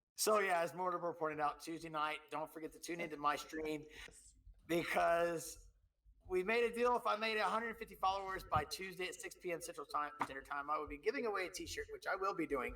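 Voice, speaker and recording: Through noticeable background noise comes a man with an American accent and a high pitch. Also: ordinary pitch variation, fairly quick pace. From Texas. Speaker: podcast co-host and Twitch streamer. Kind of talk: casual chat. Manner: animated, filler-heavy.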